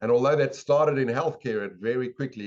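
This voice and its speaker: A man speaks in a South African accent. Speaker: sales and habits expert, educator. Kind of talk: podcast interview.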